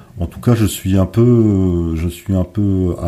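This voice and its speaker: A man's very deep, low voice with fairly even intonation, amid noticeable background noise. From northern France, Dunkirk area. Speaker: wine consultant and winemaker. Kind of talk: interview.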